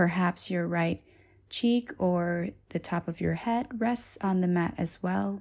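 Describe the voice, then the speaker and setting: A woman speaks very slowly in a calm, gentle tone. Her pitch sits fairly low. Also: ordinary pitch variation. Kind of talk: guided yoga class, soothing instructional cueing. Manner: calm, slow, gentle and soothing, with a steady rhythmic cadence.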